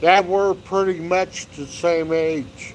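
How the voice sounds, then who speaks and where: Noticeable background noise sits behind the recording. A man speaks at a very slow pace. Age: 60s. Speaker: hiking YouTuber. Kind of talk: casual livestream chat. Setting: outdoors by a fire pit. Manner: relaxed.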